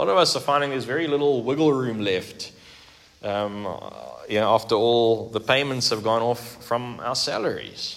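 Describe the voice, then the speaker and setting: A man's medium-pitched voice with ordinary pitch variation, audible room echo and noticeable background noise. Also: moderate pace. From South Africa. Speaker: pastor. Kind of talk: sermon.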